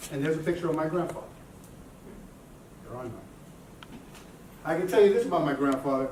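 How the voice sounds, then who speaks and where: Over noticeable background noise and audible room echo, a man with a fairly high pitch talks at a very fast pace, using ordinary pitch variation and long, frequent pauses. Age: 50s. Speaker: motivational speaker. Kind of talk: conference talk.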